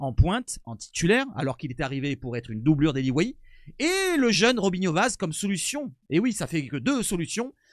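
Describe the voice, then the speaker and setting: A man speaks at a moderate pace with a high pitch and very wide pitch swings. The sound is dry and close with no echo, in a very clean recording with a silent background. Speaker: football YouTuber. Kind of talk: casual video commentary. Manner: stumbling, hesitant.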